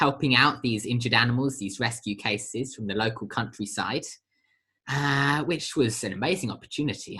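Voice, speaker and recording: A man's medium-pitched voice with a British accent, a bright, sharp tone, ordinary pitch variation and a moderate pace. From Britain. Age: young. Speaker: social entrepreneur, charity founder. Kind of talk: podcast interview. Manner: hesitant, many fillers.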